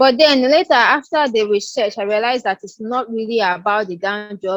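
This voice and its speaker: An ordinary speaking voice at a moderate pace, with lively intonation and a dry, close sound with no echo. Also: woman. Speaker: podcast host. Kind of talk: podcast interview discussion. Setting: recorded video call.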